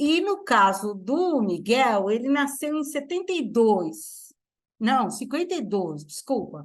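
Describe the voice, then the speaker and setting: The speech moves at a very slow pace with very wide pitch swings. The background is quiet. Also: woman, high pitch for a woman. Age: 70s. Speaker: literature professor. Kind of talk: lecture. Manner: halting.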